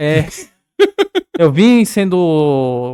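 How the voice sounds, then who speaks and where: A man speaks with a Spanish accent and a fairly high pitch. His intonation is lively. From Peru (Cusco), raised in São Paulo, Brazil from age 4-5. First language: Spanish (speaking Portuguese). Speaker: artist. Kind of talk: casual podcast interview.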